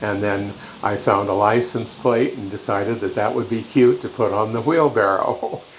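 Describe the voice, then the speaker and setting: A man talks with a Pacific Northwest accent, keeping a moderate pace and fairly even intonation. Noticeable background noise runs underneath. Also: medium pitch for a man. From Washington state, Yakima Valley. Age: 80s+. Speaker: interviewee recalling family farm. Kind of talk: interview reminiscence. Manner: halting, many fillers.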